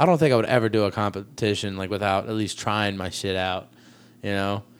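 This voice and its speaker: An ordinary speaking voice talks at a fairly quick pace. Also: man. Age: 20s. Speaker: podcast host and comedian. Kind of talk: casual chat.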